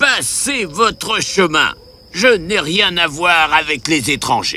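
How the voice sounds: A man does a put-on character voice, fairly high in pitch with big swings. The tone is bright and sharp, and the pace is slow.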